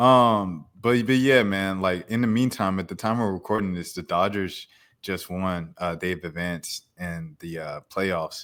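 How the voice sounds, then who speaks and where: A man with an American accent and a very deep, low pitch, at a fairly slow pace, with big swings in loudness and ordinary pitch variation, in a very clean recording with a silent background. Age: 20s. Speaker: podcast host. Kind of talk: casual chat.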